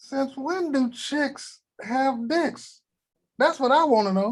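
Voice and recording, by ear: A man speaks slowly in a put-on character voice. His pitch is extremely high and his intonation lively.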